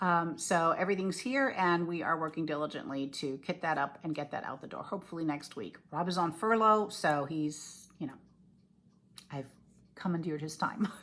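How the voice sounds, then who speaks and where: A woman speaks at a moderate pace in an ordinary speaking voice, fairly low in pitch, with ordinary pitch variation. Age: 60s. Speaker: cross-stitch designer and video blogger. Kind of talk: casual video chat. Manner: casual, with many fillers.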